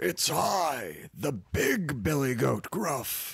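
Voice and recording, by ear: A man puts on a raspy, hoarse character voice and talks at a very slow pace. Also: fairly high pitch for a man.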